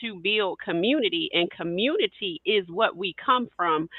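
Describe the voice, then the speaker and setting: At a fairly slow pace, the speaker talks in a Southern US accent. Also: woman. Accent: Southern US twang. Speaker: podcast co-host, educator. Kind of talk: panel discussion.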